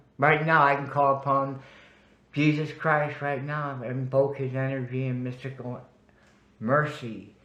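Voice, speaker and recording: The voice has a bright, sharp tone and a monotone, flat intonation at a fairly slow pace. Audible room echo surrounds it. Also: man, fairly high pitch for a man. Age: 70s. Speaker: spiritual practitioner telling life story. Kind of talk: interview.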